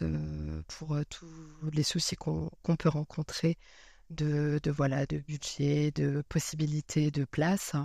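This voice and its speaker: On a very clean recording with a silent background, a woman speaks very slowly in a dark, mellow tone with fairly even intonation. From eastern France. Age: 30s. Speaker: career changer into software testing. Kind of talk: podcast interview. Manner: hesitant, many fillers.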